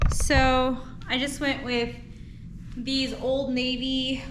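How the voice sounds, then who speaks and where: Audible room echo and noticeable background noise around a female speaker. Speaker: vlogger. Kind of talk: personal vlog. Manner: quiet; casual with fillers.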